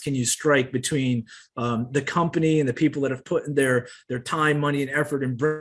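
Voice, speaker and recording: With an American accent, a man with a fairly high pitch keeps his intonation fairly even. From US Northeast. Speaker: company presenter. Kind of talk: sales pitch.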